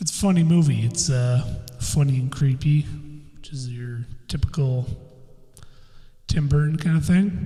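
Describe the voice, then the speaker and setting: A man's mumbling at medium pitch, fairly slow with long, frequent pauses, big swings in loudness and ordinary pitch variation, music in the background. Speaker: podcast host. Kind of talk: casual chat. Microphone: echo from new recording software.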